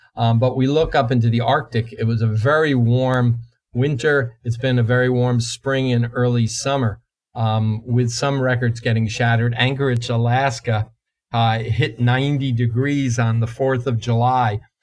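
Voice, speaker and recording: In an American accent, a man speaks at a moderate pace and medium pitch, somewhat breathy, with very even loudness and monotone, flat intonation. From New Jersey. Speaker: climatologist, professor. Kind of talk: interview.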